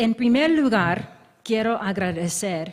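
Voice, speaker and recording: A woman speaks at a very slow pace with an American accent and a somewhat breathy voice. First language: English (speaking Spanish). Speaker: history professor. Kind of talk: academic lecture. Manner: halting.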